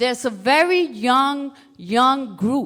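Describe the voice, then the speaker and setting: A woman's raised, projected voice in an American accent, high in pitch with a bright, sharp tone, at a very slow pace. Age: 60s. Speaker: former activist, panelist. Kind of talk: panel discussion.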